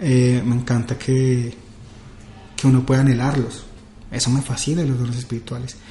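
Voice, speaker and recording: A man talks at a moderate pace and medium pitch, leaving long, frequent pauses. Noticeable background noise is present. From Colombia, Villavicencio. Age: 30s. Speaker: youth pastor. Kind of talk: casual chat. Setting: office.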